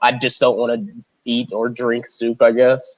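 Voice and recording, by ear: Monotone, flat intonation at a fairly slow pace, nasal with a slightly mellow tone. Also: man, medium pitch for a man.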